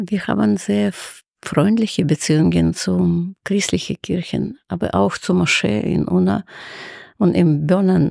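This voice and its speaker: Her voice is very deep and low, with a dark, mellow tone. The woman speaks at a very slow pace with very wide pitch swings. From Ukraine (Kharkiv, former Soviet Union). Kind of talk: interview.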